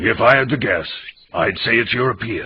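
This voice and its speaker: A man uses a put-on character voice that is raspy and medium in pitch. He talks at a moderate pace. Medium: fan dub.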